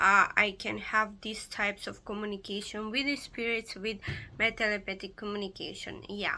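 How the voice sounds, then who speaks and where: A woman speaks with a non-native accent at a medium pitch. Her pace is moderate and her intonation monotone and flat. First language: not English. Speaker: pagan occultist YouTuber. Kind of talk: casual vlog explanation. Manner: halting, many fillers.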